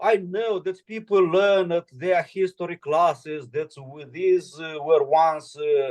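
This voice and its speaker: Very slow yet with hardly any pauses, a man with a high pitch and a Romanian accent speaks with lively intonation and big swings in loudness. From Moldova. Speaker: political commentator. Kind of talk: video call Q&A with students. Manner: halting, many fillers.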